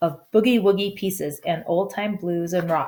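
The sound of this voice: The reading is unforced. Its pitch stays fairly level.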